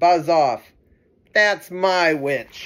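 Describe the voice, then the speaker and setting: A man puts on a character voice. It is shrill and high-pitched. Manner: gruff, dismissive.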